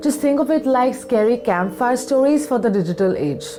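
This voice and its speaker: A woman's voice with lively intonation at a moderate pace, with music in the background. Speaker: makeup artist. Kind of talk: casual talk to camera.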